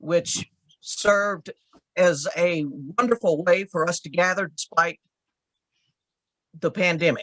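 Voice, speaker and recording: Speaking in a Southern US accent at a fairly slow pace, a woman with a fairly low pitch leaves long, frequent pauses, the sound dry and close with no echo. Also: ordinary pitch variation. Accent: Southern drawl. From rural Texas. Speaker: church women's league leader. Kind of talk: interview.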